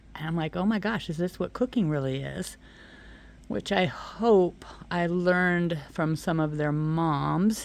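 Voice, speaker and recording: On a very clean recording with a silent background, a woman with a normal speaking voice talks at a fairly slow pace and fairly low pitch with ordinary pitch variation. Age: 60s. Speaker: vlogger. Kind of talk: casual monologue. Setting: outdoors. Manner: relaxed.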